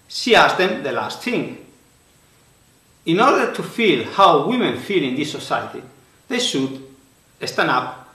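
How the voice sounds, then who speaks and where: In a room with audible echo, a man with a strong Spanish accent talks at a fairly slow pace and high pitch, making very wide pitch swings and long, frequent pauses. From Spain. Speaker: author and conference speaker. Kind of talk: prepared presentation. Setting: recorded video for online conference.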